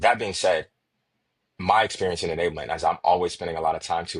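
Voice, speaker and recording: This man talks at a very fast pace. He has a Chicago accent. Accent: Chicago American. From Chicago, USA. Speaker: sales enablement consultant. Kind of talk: podcast interview answer.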